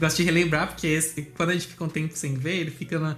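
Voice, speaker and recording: A man with a fairly high pitch is heard over noticeable background noise. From Brazil, Santa Catarina (Blumenau). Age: 20s. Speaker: meme page creator, guest. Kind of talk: casual chat.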